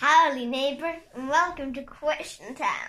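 A put-on character voice with a high pitch comes through at a moderate pace. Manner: cheerful, put-on.

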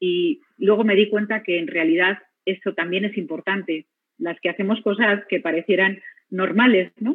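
A woman talks at a moderate pace and medium pitch. Her pitch variation is ordinary. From Spain. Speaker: physician, radiotherapy head. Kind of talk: personal testimony talk.

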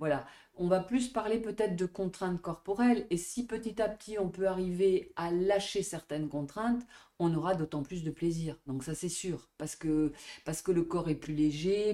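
Speaking at a fairly slow pace, a woman has a fairly low pitch and ordinary pitch variation. Hers is a plain, everyday voice. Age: 50s. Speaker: dance and Pilates teacher. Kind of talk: interview conversation.

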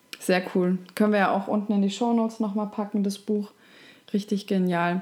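The voice has a dark, mellow tone and delivers everything in a flat monotone. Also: woman. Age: 30s. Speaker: podcast host. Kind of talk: interview.

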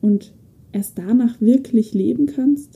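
A woman's fairly high-pitched voice with a dark, mellow tone at a very slow pace. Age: 20s. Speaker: podcast host. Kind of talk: personal monologue.

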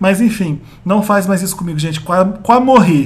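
Keeping a moderate tempo, a man talks in a high voice. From Brazil, Pará. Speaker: podcast host, pop culture site owner. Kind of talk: casual chat.

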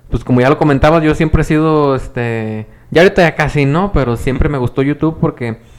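Here a man speaks in a normal speaking voice at a fairly quick pace. His pitch is fairly high, with ordinary pitch variation. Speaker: podcast co-host and teacher. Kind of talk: casual chat.

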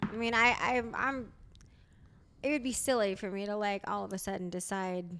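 Here a woman talks at a medium pitch. Her pace is moderate. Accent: American. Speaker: comedian and podcaster. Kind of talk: casual chat. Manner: animated.

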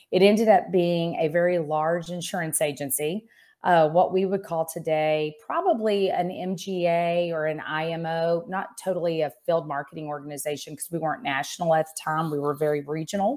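With an American accent and an ordinary speaking voice, a woman speaks at a fairly low pitch and moderate pace, with hardly any pauses and fairly even intonation, on a very clean recording with a silent background. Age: 50s. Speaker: insurance executive and business coach. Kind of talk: interview.

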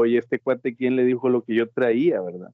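A man with a medium pitch. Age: 40s. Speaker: freight transport worker. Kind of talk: casual interview.

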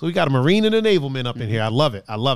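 On a very clean recording with a silent background, a man speaks at a very fast pace in an animated tone with very wide pitch swings. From outside US, moved to US East Coast. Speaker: podcast host. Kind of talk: casual banter podcast. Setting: studio. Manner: animated, joking.

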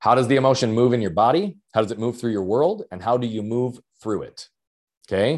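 The man talks at a medium pitch, and the recording is very clean with a silent background. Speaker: mindset coach and speaker. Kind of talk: interview conversation. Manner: fast talker, loud.

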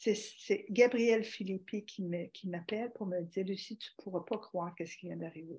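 A woman with a somewhat breathy, medium-pitched voice speaks at a moderate pace with fairly even intonation, hardly any pauses, and big swings in loudness. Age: 60s. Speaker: organ donation advocate and teacher. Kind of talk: interview.

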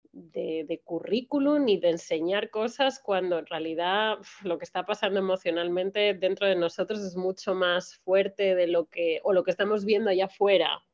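Loudness swings widely as a woman speaks at medium pitch with ordinary pitch variation. She keeps a moderate pace with hardly any pauses. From Spain. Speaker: Spanish teacher. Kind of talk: interview. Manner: halting.

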